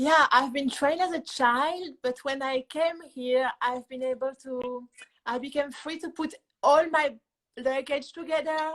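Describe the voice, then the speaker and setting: Speaking in a French accent, a woman uses a high pitch and fairly even intonation at a fairly slow pace. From France. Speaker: musician. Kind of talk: interview. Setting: Instagram live show.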